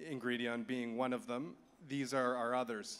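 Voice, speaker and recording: With a Canadian accent, a man with an unremarkable speaking voice and medium pitch talks at a moderate pace. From Canada. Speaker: conference speaker for an agriculture nonprofit. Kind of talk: conference presentation.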